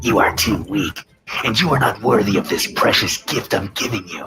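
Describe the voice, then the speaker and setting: A man in a put-on character voice, medium in pitch, at a moderate pace. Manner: hissing, cruel, contemptuous.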